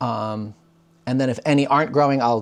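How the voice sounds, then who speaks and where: Vocal fry runs through this man's speech at a fairly quick pace. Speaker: homesteader. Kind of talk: casual vlog tutorial. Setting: at home, parlor. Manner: casual, many fillers.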